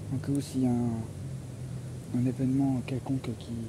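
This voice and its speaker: A soft-spoken man at medium pitch, with audible room echo and noticeable background noise. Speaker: solo explorer vlogger. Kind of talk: outdoor vlog narration. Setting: outdoors in a forest. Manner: halting.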